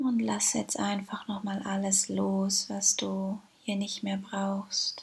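The tone is soothing and gentle, at a very slow pace. Noticeable background noise runs underneath. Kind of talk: guided meditation. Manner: slow, soothing and gentle, with calm pauses and repeated phrases; warm, inviting, addressing the listener as 'du'.

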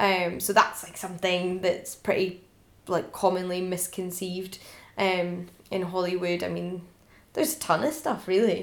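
Audible room echo surrounds a woman speaking at a fairly slow pace with big swings in loudness. Her pitch is medium and her pitch variation ordinary. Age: 20s. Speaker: podcast host and ancient history PhD student. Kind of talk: casual chat.

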